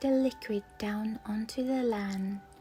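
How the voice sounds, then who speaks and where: Music plays while a woman speaks at a very slow pace. Her pitch is fairly high, with ordinary variation. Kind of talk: sleep story.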